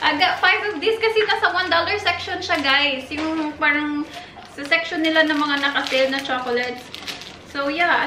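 A woman speaks in a raised, projected voice at a moderate pace. Crowd noise fills the background. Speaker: vlogger. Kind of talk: casual vlog chat. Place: kitchen. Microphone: camera far.

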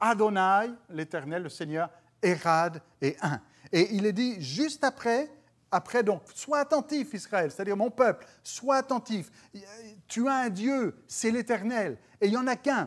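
Over a quiet background, a man talks at a very slow pace. His voice is high-pitched, with lively intonation. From France. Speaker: pastor. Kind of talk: sermon. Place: studio. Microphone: lapel.

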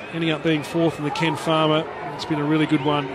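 In an Australian accent, a man speaks at a fairly high pitch and a moderate pace. His tone is animated and enthusiastic, with noticeable background noise behind him. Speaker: sports commentator. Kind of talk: live sports commentary. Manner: animated, enthusiastic, punchy calling.

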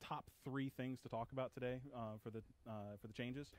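A man's medium-pitched voice with fairly even intonation and a dry sound with no echo. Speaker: tech support technician; video presenter. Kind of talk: webinar presentation. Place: studio. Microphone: headset.

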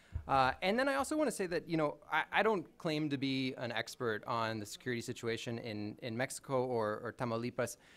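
A man talks at a fairly quick pace with hardly any pauses. His pitch variation is ordinary. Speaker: panelist. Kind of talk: panel presentation. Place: hall. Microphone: podium.

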